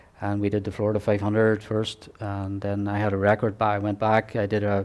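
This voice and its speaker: With an Irish accent, a man speaks fairly quickly at a fairly low pitch in a flat, monotone delivery. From Ireland. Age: 60s. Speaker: ultra-cycling racer and association president. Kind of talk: interview. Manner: halting, many fillers and restarts.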